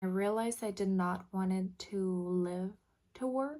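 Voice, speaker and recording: With a Quebec accent, a woman speaks at a medium pitch in a dark, mellow tone. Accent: Canadian French-accented English. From French Canada. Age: 20s. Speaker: vlogger. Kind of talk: casual vlog talk to camera.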